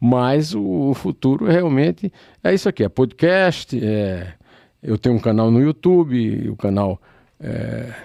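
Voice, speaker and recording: A man's dark, mellow tone with very wide pitch swings at a very slow pace, dry and close with no echo. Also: medium pitch for a man. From Brazil, Northeast (Paraíba). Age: 70s. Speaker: journalist and poet. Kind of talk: interview. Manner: halting, many fillers.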